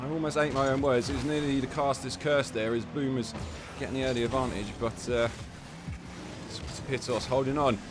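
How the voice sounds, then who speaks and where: With music in the background, a man speaks at a medium pitch in an English accent. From England. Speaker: esports caster. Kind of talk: live commentary. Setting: live stream.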